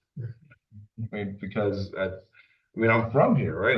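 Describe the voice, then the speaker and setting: A man is speaking. His voice is somewhat breathy. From Dominican Republic, raised in Florida. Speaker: political candidate, lawyer. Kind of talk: candidate interview. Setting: boardroom with audience and Zoom. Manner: halting, many restarts.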